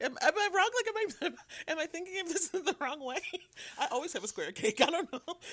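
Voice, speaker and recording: Raised and projected, a man's extremely high voice races at a very fast pace with lively intonation yet long, frequent pauses. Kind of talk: casual chat.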